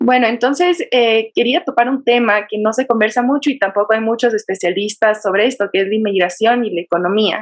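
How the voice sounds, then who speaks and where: An unremarkable speaking voice moves at a fairly quick pace with hardly any pauses. Its pitch varies in an ordinary way. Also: woman, fairly high pitch for a woman. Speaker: podcast host. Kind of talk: interview question.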